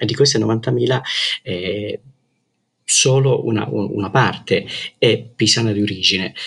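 A man's fairly low, vocal-fry voice at a fairly slow pace, with ordinary pitch variation and long, frequent pauses. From Calabria, southern Italy. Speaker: journalist. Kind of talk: interview. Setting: remote call. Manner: hesitant, many fillers.

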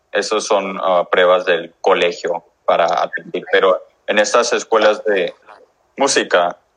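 A man speaks with an English accent. His pace is very slow. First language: English (speaking Spanish). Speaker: musician. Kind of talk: interview. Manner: halting.

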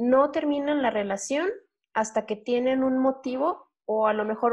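An unremarkable speaking voice moves at a fairly slow pace with fairly even intonation against a quiet background. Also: woman. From Durango, Mexico. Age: 20s. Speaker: podcaster. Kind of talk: casual chat.

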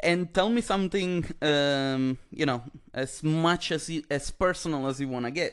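Over a quiet background, a man with an Italian accent speaks at a fairly high pitch with ordinary pitch variation. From Italy. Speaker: podcast host and comedian. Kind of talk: casual chat.

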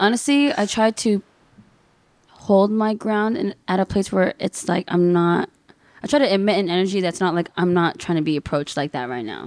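At a moderate pace, a woman with a medium pitch speaks with lively intonation. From Inland Empire, Southern California. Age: 20s. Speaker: DJ. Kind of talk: casual chat.

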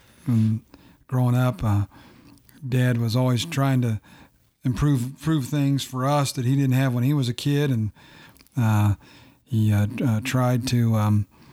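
A man with an American accent speaks at a fairly slow pace in a medium pitch, his dark, mellow tone carrying fairly even intonation on a very clean recording with a silent background. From Ohio. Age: 50s. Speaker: pastor's father, lay missionary. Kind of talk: casual chat. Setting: small room, seated close at a table.

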